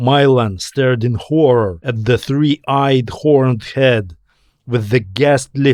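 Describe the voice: This is plain reading aloud over a quiet background.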